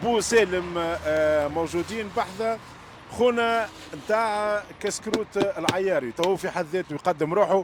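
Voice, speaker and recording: Pitched high for a man, this male voice moves at a fairly slow pace with ordinary pitch variation. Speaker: food vlogger. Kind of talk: street food interview.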